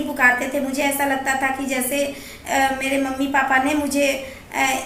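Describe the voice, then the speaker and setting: Over noticeable background noise, a woman uses a raised, projected voice at a high pitch. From Bihar, India. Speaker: vlogger. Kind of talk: casual talk to camera.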